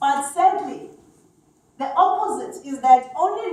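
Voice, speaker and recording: In a Zulu accent, a woman speaks with lively intonation amid audible room echo. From South Africa. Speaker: HR executive. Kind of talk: conference talk.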